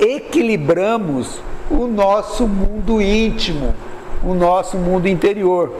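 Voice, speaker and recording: Amid noticeable background noise and audible room echo, a man speaks at a very slow pace with ordinary pitch variation. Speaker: spiritist lecturer. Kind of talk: spiritual lecture. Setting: room with live audience. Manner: varying volume, sometimes drops voice.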